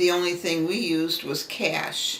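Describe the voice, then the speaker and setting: A woman's fairly low voice at a fairly slow pace, with audible room echo and noticeable background noise. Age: 70s. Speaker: retired secretary. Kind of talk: interview.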